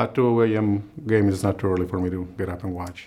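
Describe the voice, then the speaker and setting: A man with a Spanish accent, fairly low pitch, fairly even intonation and a fairly quick pace. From Guadalajara, Mexico. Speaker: state legislator. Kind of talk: interview monologue.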